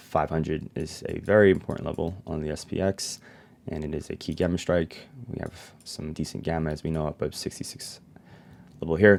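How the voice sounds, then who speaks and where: In a put-on character voice, a man mumbles at a fairly quick pace with a very deep, low pitch and fairly even intonation. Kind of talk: fast-paced trading commentary. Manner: mumbling.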